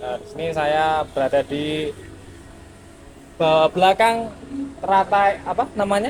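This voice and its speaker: Noticeable background noise surrounds a high-pitched man who speaks at a fairly slow pace, with ordinary pitch variation and long, frequent pauses. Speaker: podcast host. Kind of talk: podcast interview.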